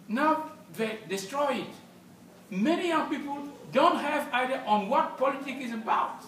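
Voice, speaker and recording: With audible room echo and noticeable background noise, a man speaks at a moderate pace in an extremely high voice with lively intonation. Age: 60s. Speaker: politician. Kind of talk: public speech.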